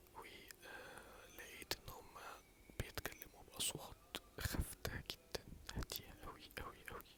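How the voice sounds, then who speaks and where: A man whispers. His pace is very slow. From Egypt. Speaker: ASMR creator. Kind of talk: casual talk to camera. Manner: soft-spoken, whispering.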